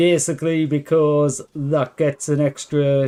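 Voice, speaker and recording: A man's fairly high voice, very slow and relaxed, with a dark, mellow tone. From northeast England. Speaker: game streamer. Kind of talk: live gameplay commentary. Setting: live stream. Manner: relaxed, chatty with fillers.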